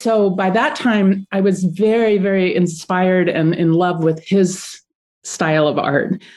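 A woman's normal speaking voice at a medium pitch, fairly slow pace and ordinary pitch variation, against a quiet background. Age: 50s. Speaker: artist and online art teacher. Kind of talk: interview.

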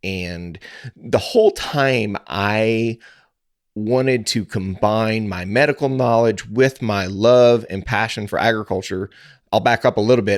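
With a Midwestern American accent, a man talks with fairly even intonation. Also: medium pitch for a man, fairly slow pace, very clean recording, silent background. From rural Missouri, US. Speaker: podcaster and cattle farmer, pharmacist. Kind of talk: interview.

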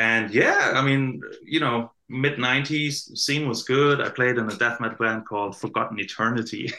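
This man, with a German accent, talks at a moderate pace in a medium pitch with ordinary pitch variation, a bright, sharp tone, and hardly any pauses. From southern Germany, near Stuttgart. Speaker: metal band bassist. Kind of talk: casual interview chat. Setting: video call.

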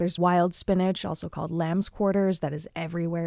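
A woman with an American accent talks at a very fast pace. Her tone is dark and mellow, her pitch fairly low, and her intonation fairly even. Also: dry, close sound with no echo. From Illinois, Chicago suburbs. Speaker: amateur urban forager. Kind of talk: interview.

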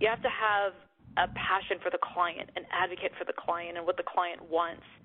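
A woman with an American accent speaks at a moderate pace in an ordinary speaking voice, her pitch sitting in the middle range. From US, Pittsburgh, Pennsylvania. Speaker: tech executive. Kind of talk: interview.

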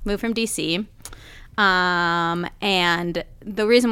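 Heard on a very clean recording with a silent background, a woman of medium pitch uses a normal speaking voice with fairly even intonation. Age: 30s. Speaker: film superfan. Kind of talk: casual chat.

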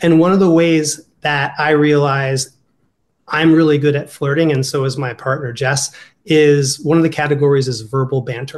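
This man has an Ohio accent and speaks at a moderate pace. His intonation stays fairly even. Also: fairly high pitch for a man. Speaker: dating coach. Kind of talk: casual interview.

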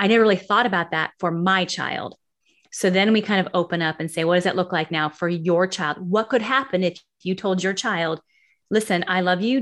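Over a quiet background, a woman with an American accent speaks fairly quickly in an ordinary speaking voice, medium in pitch with ordinary pitch variation. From US West Coast, San Francisco Bay Area. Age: 50s. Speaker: author and educator. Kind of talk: interview.

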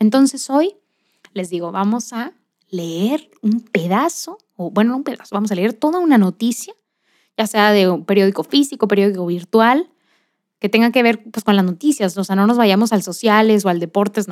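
An animated voice with lively intonation moves at a moderate pace, recorded with a dry, close sound and no echo. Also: woman, fairly high pitch for a woman. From Monterrey, Nuevo León, Mexico. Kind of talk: faith-based motivational monologue.

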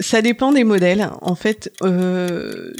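A woman speaks in a plain, everyday voice at a medium pitch, with ordinary pitch variation. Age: 40s. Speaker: research scientist. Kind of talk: interview. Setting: lab tour.

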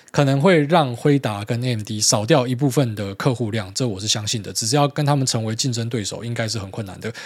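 With hardly any pauses, a man talks at a fairly quick pace in a medium pitch with ordinary pitch variation. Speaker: podcast host. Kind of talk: casual monologue. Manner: hesitant fillers.

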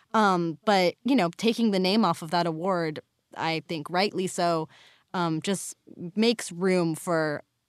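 Against a quiet background with a dry, close sound and no echo, a woman with an ordinary speaking voice talks at a fairly slow pace, her fairly low pitch showing ordinary variation. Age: 20s. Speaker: podcast producer. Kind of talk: casual interview.

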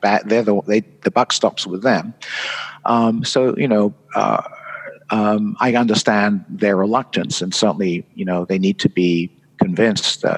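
With a slight British accent, a man speaks at a fairly low pitch and fairly even intonation in a dry, close sound with no echo, noticeable background noise behind him. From England. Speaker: conference designer and author. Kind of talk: casual interview chat. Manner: halting, hesitant.

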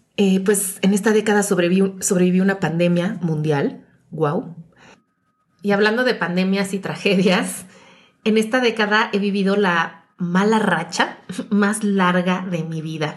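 With a plain, everyday voice, a woman speaks at a medium pitch and a fairly slow pace, her intonation fairly even. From Mexico City. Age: 40s. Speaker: podcast host. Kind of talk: personal reflective monologue.

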